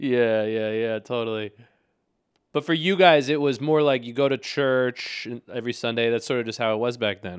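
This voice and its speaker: At a moderate pace, a man with a plain, everyday voice speaks in a medium pitch with ordinary pitch variation, recorded very cleanly against a silent background. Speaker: interviewer, nephew. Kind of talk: casual interview.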